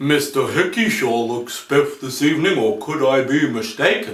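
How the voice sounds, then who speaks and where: A man does a put-on character voice at a fairly high pitch. He keeps a moderate pace, with a slight echo around him. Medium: solo performance. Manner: courteous, gentle.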